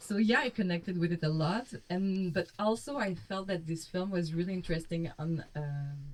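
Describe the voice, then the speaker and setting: A woman with a Quebec accent, lively in intonation, at a moderate pace with hardly any pauses. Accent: Québécois French accent in English. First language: French. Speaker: film critic and novelist. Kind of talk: panel discussion. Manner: informal, many fillers like 'like'.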